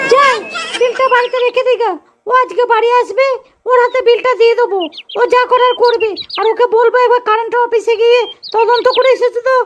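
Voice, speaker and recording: A woman does a cartoonish character voice at an extremely high pitch and a moderate pace. Her intonation is monotone and flat, and her loudness stays very even. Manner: sharp, scolding.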